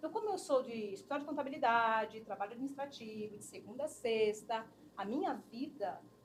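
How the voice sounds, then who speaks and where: A woman's high voice moves at a moderate pace with lively intonation. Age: 50s. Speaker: human resources specialist. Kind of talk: interview conversation. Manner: animated.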